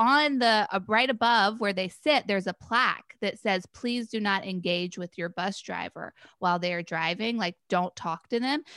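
A woman's fairly high, bright, sharp voice comes through dry and close with no echo, on a very clean recording with a silent background. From North Carolina (Chapel Hill). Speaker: podcast guest. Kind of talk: casual chat.

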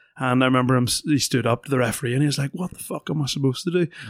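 On a very clean, dry, close recording with no echo and a silent background, a man with a Northern Irish accent speaks very fast at a medium pitch with fairly even intonation. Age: 30s. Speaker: retired rugby player, pundit. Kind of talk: casual chat. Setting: studio.

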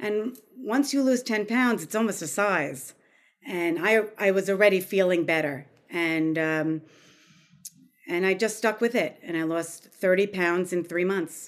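A woman at medium pitch uses lively intonation in a plain, everyday voice. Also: fairly slow pace. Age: 50s. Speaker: health coach and chef. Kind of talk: casual interview.

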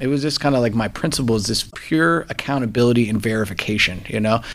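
This man talks in a normal speaking voice, keeping his intonation fairly even. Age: 30s. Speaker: jiu-jitsu practitioner. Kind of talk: interview. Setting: studio. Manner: casual, filler-heavy.

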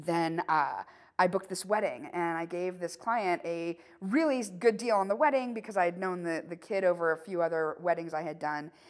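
In an ordinary speaking voice, a woman talks at a medium pitch and moderate pace with ordinary pitch variation, in a very clean recording with a silent background. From southwestern Pennsylvania. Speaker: photographer. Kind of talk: casual chat. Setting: studio.

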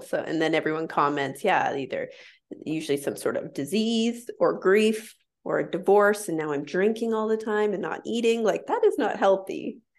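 In a quiet background, a woman with an unremarkable speaking voice talks at a moderate pace, her pitch varying in an ordinary way. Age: 30s. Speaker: intuitive eating counselor. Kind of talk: casual chat.

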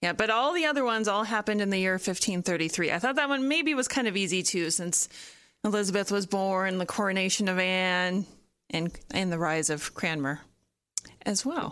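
Heard on a very clean recording with a silent background, a woman with a normal speaking voice talks at a fairly quick pace with lively intonation. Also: medium pitch for a woman. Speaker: podcast host. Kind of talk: casual chat.

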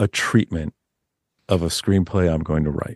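With no echo at all, the man's voice comes across dry and close. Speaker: novelist. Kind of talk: casual chat. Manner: animated.

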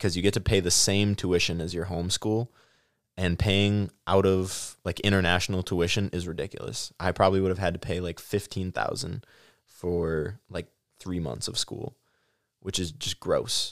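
At a moderate pace, a man speaks with a very deep, low pitch and fairly even intonation on a very clean recording with a silent background. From US Midwest (Stoughton, Wisconsin). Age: 20s. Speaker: accounting student. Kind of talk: casual chat. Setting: studio.

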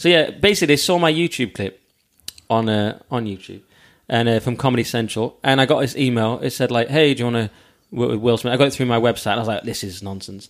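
A man talks at a very fast pace. He speaks with a Cumbrian accent. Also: medium pitch for a man, ordinary pitch variation. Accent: Cumbrian northern English. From northern England, Lake District. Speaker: comedian. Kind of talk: casual chat.

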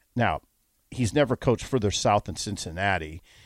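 The recording is very clean with a silent background and a dry, close sound with no echo, carrying a man's fairly low voice. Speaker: sports columnist and radio co-host. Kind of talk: casual chat. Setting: studio. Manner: quiet, volume goes up and down.

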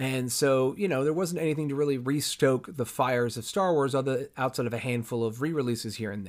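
Recorded very cleanly with a silent background, a man with an ordinary speaking voice and a medium pitch moves at a fairly quick pace with hardly any pauses and ordinary pitch variation. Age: 30s. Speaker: podcast host. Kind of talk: solo monologue podcast.

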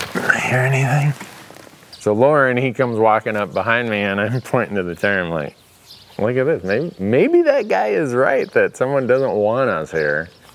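Against noticeable background noise, a man with an Upper Midwest accent speaks at a medium pitch and a moderate pace, with lively intonation. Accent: Upper Midwest American. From northern Minnesota. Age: 50s. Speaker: hunting show host. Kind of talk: storytelling monologue. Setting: in his workshop.

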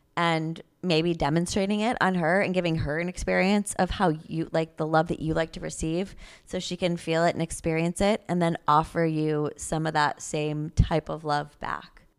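A woman at a moderate pace with fairly even intonation, on a very clean recording against a silent background. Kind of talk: casual chat. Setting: at a family home in Florida. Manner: quiet.

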